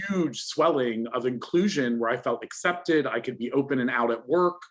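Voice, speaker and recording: A man with an American accent has an unremarkable speaking voice at medium pitch. He keeps a moderate pace and ordinary pitch variation. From US (New York area). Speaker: lawyer, panellist. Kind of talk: panel discussion.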